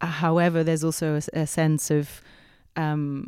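A woman's dark, mellow voice, very deep and low in pitch, at a fairly slow pace, dry and close with no echo. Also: very clean recording, silent background. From Ibiza, Spain. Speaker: costume designer and performer. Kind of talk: casual chat.

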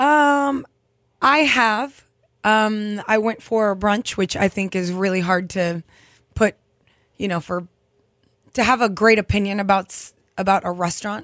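A woman's medium-pitched voice at a moderate pace, with long, frequent pauses, in a very clean recording with a silent background. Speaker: bartender and beverage consultant, co-host. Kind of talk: casual chat. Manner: casual, conversational.

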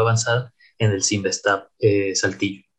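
A man speaks at a moderate pace with a medium pitch and fairly even intonation. His voice is somewhat breathy. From Mexico, Tampico, Tamaulipas. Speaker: AI scientist and consultant. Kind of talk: interview. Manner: halting, with many fillers and repetitions.

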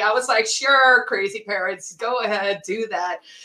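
Background noise is noticeable throughout. The voice belongs to a woman. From South Africa. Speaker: writer and political activist. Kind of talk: casual interview conversation.

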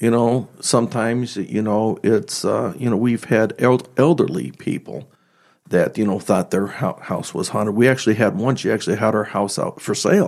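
A man's voice with vocal fry and ordinary pitch variation, in a very clean recording with a silent background. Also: fairly low pitch for a man, moderate pace. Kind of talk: interview.

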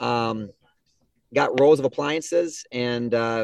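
The speaker talks with an Upper Midwest accent. Pitch varies in an ordinary way. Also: man. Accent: Upper Midwest (Minnesota). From southern Minnesota. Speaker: appliance store co-owner. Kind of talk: casual interview.

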